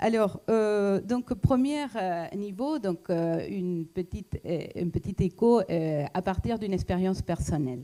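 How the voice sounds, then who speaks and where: The voice is dark and mellow in tone. It moves at a very slow pace with very wide pitch swings. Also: woman. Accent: non-native. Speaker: economist and lecturer. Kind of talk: talk to an audience. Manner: hesitant, many fillers.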